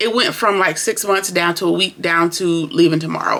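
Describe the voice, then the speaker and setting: A woman's fairly low voice, bright and sharp in tone, with ordinary pitch variation and a fairly quick pace. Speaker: TV show reviewer. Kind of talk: casual review vlog.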